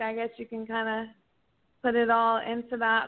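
A woman with an American accent talks at a moderate pace in a fairly high pitch. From Oklahoma. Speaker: radio show caller. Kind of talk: phone-in comment. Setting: phone call.

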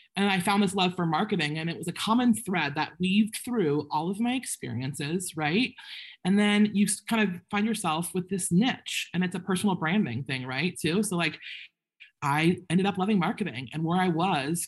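Her voice is somewhat breathy, with lively intonation. The woman talks at a fairly quick pace. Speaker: business owner. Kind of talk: panel discussion. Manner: fast talker when nervous.

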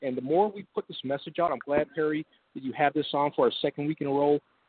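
Speaking at a fairly quick pace with ordinary pitch variation, a man uses an ordinary speaking voice. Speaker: national veterans organization strategy officer.

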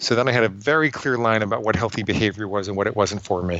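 At a very fast pace, a man with an American accent talks with ordinary pitch variation. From New York City area. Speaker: psychologist and author. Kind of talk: interview.

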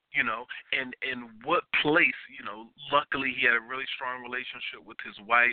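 Using a normal speaking voice at a medium pitch, a man speaks at a moderate pace with fairly even intonation and big swings in loudness. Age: 40s. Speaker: radio talk show host. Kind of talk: call-in radio talk show.

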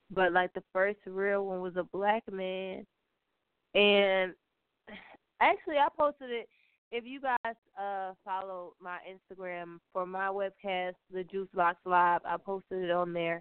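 Using a normal speaking voice with an American accent, a woman talks at a fairly slow pace and medium pitch, with ordinary pitch variation and big swings in loudness. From Baltimore, US. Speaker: radio show guest. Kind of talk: casual chat.

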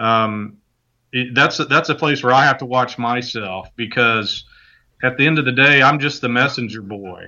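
A man talks in a plain, everyday voice. His pitch is medium and his pace moderate. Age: 40s. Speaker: author and ministry leader. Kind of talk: casual interview.

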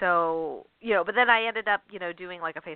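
A woman with a plain, everyday voice speaks at a fairly quick pace. Her pitch is fairly low and varies in an ordinary way. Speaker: radio show host and author. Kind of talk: call-in radio interview. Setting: radio studio with phone lines. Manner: warm, chatty, frequent fillers.

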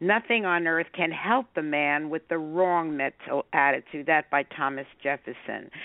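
A woman speaks at a fairly slow pace with ordinary pitch variation. Hers is an unremarkable speaking voice. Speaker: radio host and coach. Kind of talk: radio interview. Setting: live radio show.

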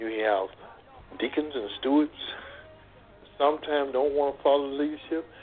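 A man talks at a moderate pace with a fairly high pitch and ordinary pitch variation. He takes long, frequent pauses over noticeable background noise. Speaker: discussion guest on church. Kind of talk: call-in discussion on church.

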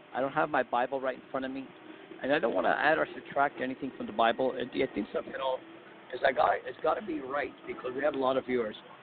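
A man talks very fast in a medium pitch with fairly even intonation. There is noticeable background noise. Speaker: prayer leader. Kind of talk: prayer. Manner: repetitive, fervent.

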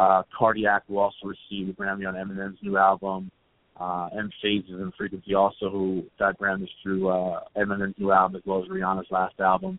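Fairly low in pitch, a man speaks at a fairly quick pace. His intonation is monotone and flat. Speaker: music event organizer and manager. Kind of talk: casual interview. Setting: phone call.

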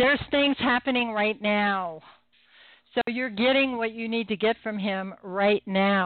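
A woman talks in an ordinary speaking voice with a fairly high pitch. Her pitch variation is ordinary. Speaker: psychic medium and radio host. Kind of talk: live call-in psychic readings show. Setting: phone-in radio show. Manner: humorous, chatty, friendly.

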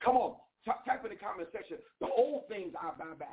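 At a fairly quick pace, a woman talks with lively intonation and a husky, rough edge. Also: medium pitch for a woman.

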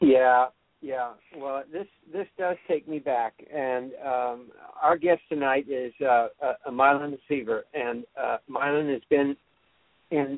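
Very slowly and at a fairly high pitch, a man speaks with an American accent. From California. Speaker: singer-songwriter, show host. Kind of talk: interview.

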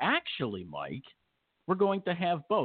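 In a plain, everyday voice, a man speaks at a fairly quick pace with lively intonation. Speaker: harness racing radio host. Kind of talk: casual radio show banter.

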